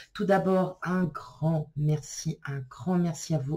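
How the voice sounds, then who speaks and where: A woman with a fairly low pitch speaks in a dark, mellow, somewhat breathy tone with ordinary pitch variation. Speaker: tarot card reader. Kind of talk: tarot reading video. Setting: filmed on camera. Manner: casual, hesitant with fillers.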